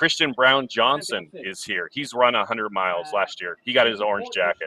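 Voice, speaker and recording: A man with an unremarkable speaking voice talks at a moderate pace. His pitch is medium, and his intonation is lively. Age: 40s. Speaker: race commentator. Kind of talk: live commentary.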